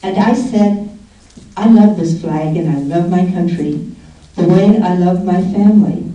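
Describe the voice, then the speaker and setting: With noticeable background noise behind her, a woman speaks at a fairly slow pace and medium pitch, keeping her intonation fairly even. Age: 80s+. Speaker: peace activist. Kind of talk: award acceptance speech.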